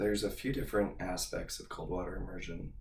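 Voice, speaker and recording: The voice here is a man's. Audible echo from the room hangs around it. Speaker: fitness podcast host. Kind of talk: solo podcast monologue.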